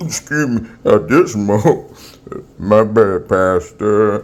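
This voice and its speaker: A man's put-on character voice, fairly low in pitch, at a very slow pace. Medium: comedy sketch. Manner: interjecting.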